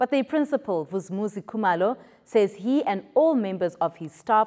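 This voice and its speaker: In a quiet background, a woman speaks with a fairly high voice. Her pitch swings very widely. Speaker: television news presenter. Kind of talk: formal news bulletin reading, scripted. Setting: studio. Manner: formal, measured, even-paced newsreader delivery; clear, polished, neutral tone with scripted headlines.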